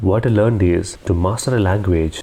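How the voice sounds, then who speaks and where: A man with an Indian accent talks at a moderate pace in a fairly low pitch. His intonation is fairly even, and background noise is noticeable. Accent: Indian English (Telugu). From South India, Telugu-speaking. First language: Telugu. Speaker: SAP integration consultant and interviewer. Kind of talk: tutorial.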